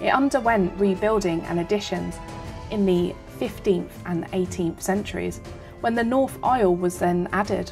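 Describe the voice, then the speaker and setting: With music in the background, a woman talks at a moderate pace with ordinary pitch variation. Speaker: tour narrator. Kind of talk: documentary narration.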